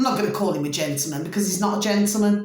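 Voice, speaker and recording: A woman speaks with a Birmingham accent and very wide pitch swings. There is audible room echo. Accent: Brummie. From Birmingham, England. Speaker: astrology vlogger. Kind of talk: casual monologue. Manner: animated.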